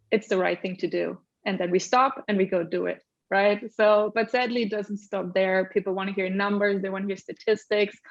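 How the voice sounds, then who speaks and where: Speaking at a fairly quick pace, a woman with a slight German accent talks at medium pitch in a monotone, flat intonation. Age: middle-aged. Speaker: accessibility lead at a tech company. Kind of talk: panel discussion.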